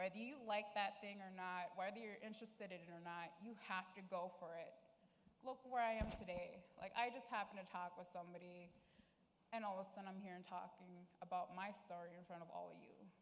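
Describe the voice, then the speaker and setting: Audible room echo surrounds a woman speaking at a fairly quick pace. Her intonation stays fairly even while her loudness swings widely. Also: medium pitch for a woman. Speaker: youth panelist. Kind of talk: testimony. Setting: stage with audience.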